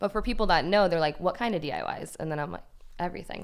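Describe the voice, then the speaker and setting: A woman speaks with vocal fry and a shaky voice. Her pitch variation is ordinary. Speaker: DIY YouTuber. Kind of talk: casual chat.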